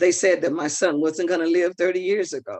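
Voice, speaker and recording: Here a woman is speaking. Her pitch varies an ordinary amount. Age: 70s. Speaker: self-represented parent in court appeal. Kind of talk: oral argument in court. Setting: appeals courtroom. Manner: halting.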